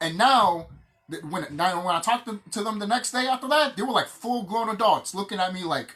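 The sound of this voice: Lively in intonation and fairly bright in tone, a man speaks fairly quickly at a high pitch.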